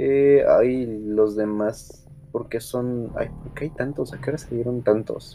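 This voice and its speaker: Amid noticeable background noise, a man talks at a very slow pace with big swings in loudness. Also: medium pitch for a man. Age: 20s. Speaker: podcast host. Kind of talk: casual chat. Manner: animated.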